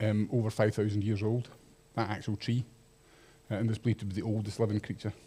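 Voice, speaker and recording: A man with a Scottish accent speaks at a medium pitch, his voice somewhat breathy. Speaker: microbiologist giving public talk. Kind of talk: public lecture.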